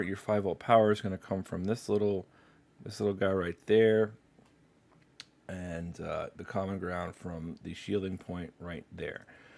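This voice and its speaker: A man with an unremarkable speaking voice talks at a moderate pace with a fairly low pitch and fairly even intonation. His loudness swings widely. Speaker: livestreamer doing electronics repair. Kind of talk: live stream tutorial. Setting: live stream at workbench.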